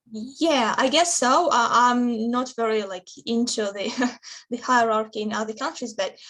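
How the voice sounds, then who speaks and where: At a moderate pace, a woman with a Russian accent talks with ordinary pitch variation. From Russia, Samara region. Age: 20s. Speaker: interviewee. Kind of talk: interview. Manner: halting, many fillers.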